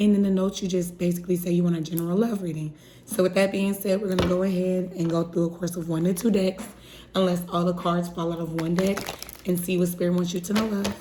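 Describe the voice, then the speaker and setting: Over noticeable background noise, a woman speaks very fast at a medium pitch in a flat monotone. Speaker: tarot reader. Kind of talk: tarot reading for a client.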